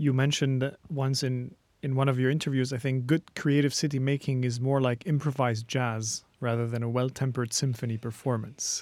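In a very clean recording with a silent background, a man with a Lebanese accent talks at a medium pitch and a fairly quick pace, with fairly even intonation and hardly any pauses. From Lebanon. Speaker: podcast host. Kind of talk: interview.

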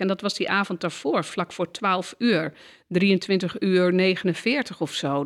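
The woman's medium-pitched voice shows ordinary pitch variation. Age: 50s. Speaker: counsellor and systemic therapist. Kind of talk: interview conversation. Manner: hesitant, many filler sounds.

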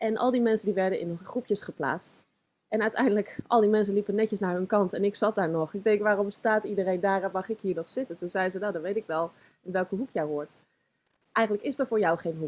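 Using a plain, everyday voice, a woman talks at a fairly quick pace and a medium pitch, with ordinary pitch variation. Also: dry, close sound with no echo. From Netherlands, Zoetermeer (South Holland). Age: 30s. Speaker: author and yoga teacher. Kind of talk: interview, life story. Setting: studio.

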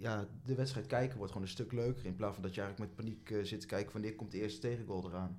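Audible room echo surrounds a man's fairly low voice. He speaks at a very fast pace. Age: 20s. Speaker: student and football fan. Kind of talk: casual chat.

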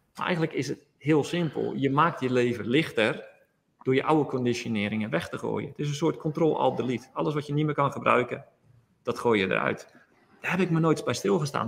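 With vocal fry in his voice, a man speaks at a fairly quick pace and a medium pitch, showing ordinary pitch variation. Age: 40s. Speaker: yoga teacher. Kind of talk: interview.

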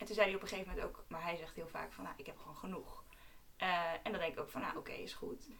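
A woman rushes through her words at a very fast pace, with audible room echo and noticeable noise in the background. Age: 20s. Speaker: medical student. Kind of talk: casual chat.

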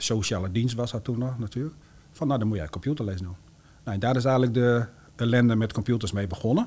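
A man with a normal speaking voice, medium pitch and ordinary pitch variation, at a fairly quick pace. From Groningen province, Netherlands. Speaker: entrepreneur. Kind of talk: interview.

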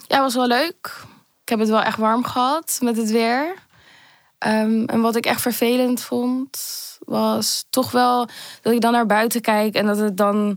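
On a very clean recording with a silent background, a woman speaks at a very slow pace. Her fairly high voice holds a very even loudness and fairly even intonation. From Amsterdam, early childhood in Manchester. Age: 20s. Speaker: podcast guest sharing personal story. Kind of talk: personal testimony.

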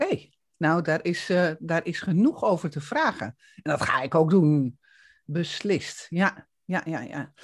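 The speaker goes at a fairly slow pace. The pitch varies in an ordinary way. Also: woman. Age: 60s. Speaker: podcast host and coach. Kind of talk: interview. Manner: hesitant, many fillers.

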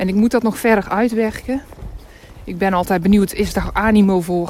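Intonation stays fairly even as the words come at a moderate speed. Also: woman. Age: 30s. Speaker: career coach and podcaster. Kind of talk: casual monologue. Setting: outdoors, walking in snow.

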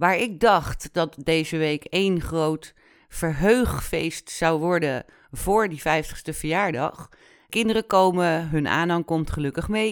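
The recording is very clean with a silent background, and the woman talks at a very slow pace. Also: fairly low pitch for a woman, ordinary pitch variation. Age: 40s. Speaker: podcast host. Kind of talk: personal monologue. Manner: casual, animated.

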